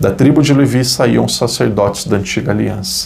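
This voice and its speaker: Lively intonation from a man, amid clearly audible background noise. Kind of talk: Bible study teaching.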